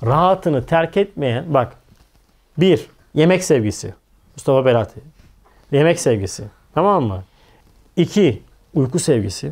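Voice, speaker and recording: A man speaks fairly slowly at a fairly high pitch, with vocal fry and long, frequent pauses. His pitch swings very widely. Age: 40s. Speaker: religious teacher. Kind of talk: religious lecture. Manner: animated. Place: studio. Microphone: lapel.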